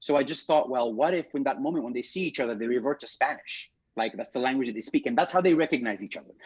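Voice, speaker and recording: Speaking with an East African accent, a man rushes along at a very fast pace with hardly any pauses. His fairly high voice has lively intonation and big swings in loudness. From Kenya, Nairobi. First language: Swahili. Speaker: theatre director. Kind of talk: interview. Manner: halting, many fillers.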